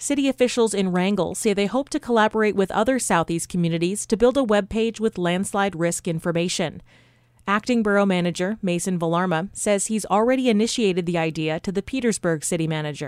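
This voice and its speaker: A woman talks at a fairly quick pace with medium pitch and ordinary pitch variation, in an unremarkable speaking voice. The recording is very clean with a silent background and a dry, close sound with no echo. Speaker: radio news anchor. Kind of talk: news reading. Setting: studio.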